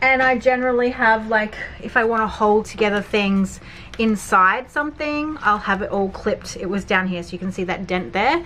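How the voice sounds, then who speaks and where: Noticeable background noise behind a woman speaking at a fairly high pitch and moderate pace, with ordinary pitch variation. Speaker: journaling YouTuber. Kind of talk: casual supply review.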